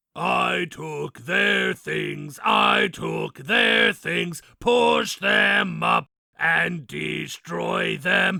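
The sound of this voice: A man puts on a raspy character voice and delivers it at a very slow pace.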